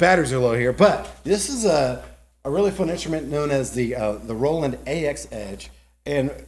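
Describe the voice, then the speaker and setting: A somewhat breathy man with a Southern US accent, fairly high pitch and lively intonation, amid audible room echo. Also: moderate pace. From South Carolina, Greenville. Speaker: ballpark organist. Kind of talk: casual interview chat. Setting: podcast studio in a garage.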